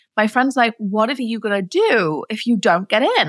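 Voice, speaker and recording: Delivered at a fairly quick pace, the voice shows vocal fry and lively intonation, with a dry, close sound and no echo. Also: woman. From England, Nottingham. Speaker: entrepreneur, former chiropractor. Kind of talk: interview.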